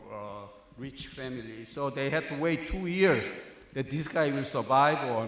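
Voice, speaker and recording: Amid audible room echo and noticeable background noise, a man with a Korean accent speaks at a fairly slow pace, his medium pitch showing ordinary pitch variation. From South Korea. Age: 60s. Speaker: professor. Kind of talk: speech at a tribute event. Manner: halting, many fillers.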